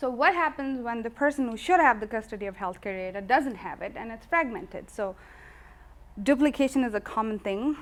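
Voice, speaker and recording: A woman is soft-spoken. Her pitch shows ordinary variation. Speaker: physician presenter. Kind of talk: presentation talk. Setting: meetup with live audience.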